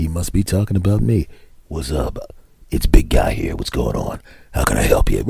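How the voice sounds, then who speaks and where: A man's put-on character voice, very deep and low in pitch, at a moderate pace with long, frequent pauses. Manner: friendly, casual, cheery.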